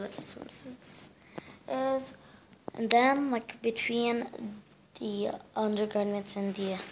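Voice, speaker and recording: A woman's very slow delivery comes through noticeable background noise. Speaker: lifestyle vlogger. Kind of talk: casual talk to camera.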